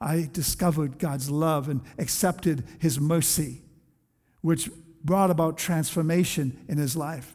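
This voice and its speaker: Speaking at a fairly slow pace, a man with a high pitch sounds animated and shows ordinary pitch variation. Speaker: pastor. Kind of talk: sermon. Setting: church. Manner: animated, fervent preaching, pressing the congregation for amens.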